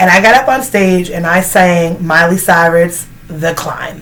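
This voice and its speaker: With audible room echo and noticeable background noise, a woman speaks at a fairly low pitch. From Canada. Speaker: vlogger. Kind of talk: casual Q&A chat. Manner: casual, filler-heavy.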